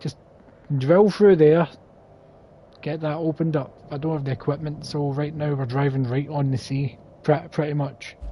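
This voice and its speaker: Here a man speaks in a strong Scottish accent at a moderate pace. His pitch is fairly high and his intonation fairly even. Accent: thick Scottish. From Scotland. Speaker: gaming streamer. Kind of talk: live gameplay commentary. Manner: casual, chatty.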